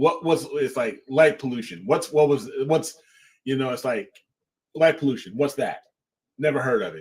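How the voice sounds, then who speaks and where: A man with a fairly high, somewhat breathy voice uses lively intonation. His loudness swings widely, and he takes long, frequent pauses. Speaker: astrophotography show co-host. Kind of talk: casual chat.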